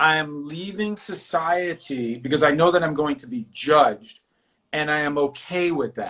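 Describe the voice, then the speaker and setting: In a New York accent, a man with a fairly high pitch speaks in an animated tone. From New York City. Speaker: artist and talk show host. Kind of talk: casual interview chat.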